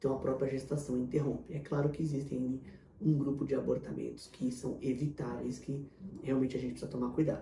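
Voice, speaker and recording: A man's dark, mellow voice at a fairly quick pace, with vocal fry, flat monotone intonation and audible room echo. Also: medium pitch for a man. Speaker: fertility doctor. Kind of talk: Q&A video answering viewer questions. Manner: fast.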